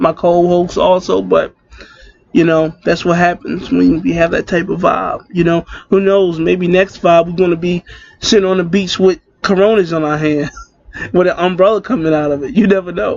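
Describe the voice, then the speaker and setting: With an American accent, this man has a high pitch. His intonation is fairly even and his pace moderate. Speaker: podcast co-host. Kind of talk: casual chat. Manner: laid back.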